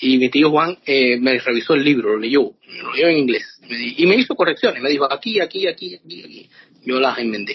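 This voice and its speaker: The delivery moves at a moderate pace with lively intonation. Loudness swings widely from moment to moment. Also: man, fairly high pitch for a man. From Cuba. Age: 50s. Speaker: author. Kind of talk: interview. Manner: hesitant, many fillers.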